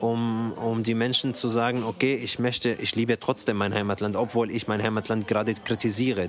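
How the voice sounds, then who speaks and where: Noticeable background noise sits behind a man speaking at a moderate pace and medium pitch. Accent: Arabic. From Syria. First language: Arabic (speaking German). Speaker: actor and theatre director. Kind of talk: interview. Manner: halting, many repetitions and fillers.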